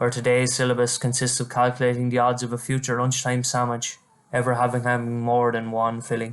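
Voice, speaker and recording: Speaking fairly quickly in an Irish accent, a man holds a medium pitch with monotone, flat intonation. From Ireland, County Wexford. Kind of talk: poetry reading.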